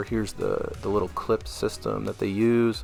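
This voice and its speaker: A man talks at a moderate speed. Music plays behind him. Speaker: tabletop gaming YouTuber. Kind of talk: product review. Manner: casual with many fillers.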